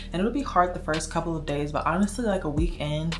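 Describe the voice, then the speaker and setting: Over clear music in the background, a woman talks at a very fast pace with ordinary pitch variation. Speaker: lifestyle vlogger. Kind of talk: casual vlog chat. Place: home room.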